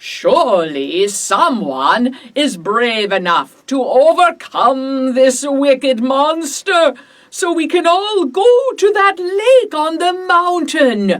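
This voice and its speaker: A woman puts on a character voice, high in pitch. She speaks very slowly, with very wide pitch swings. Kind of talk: children's story reading.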